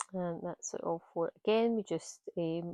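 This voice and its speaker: A woman with a Scottish accent speaks in a fairly low voice with a dark, mellow tone. Her intonation is fairly even, and the background is quiet. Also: dry, close sound with no echo. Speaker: craft tutor. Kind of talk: tutorial. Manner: hesitant, many fillers.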